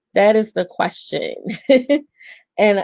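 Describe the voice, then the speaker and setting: The background is quiet. A woman is speaking. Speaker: accountant. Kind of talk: tutorial. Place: home room. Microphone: webcam.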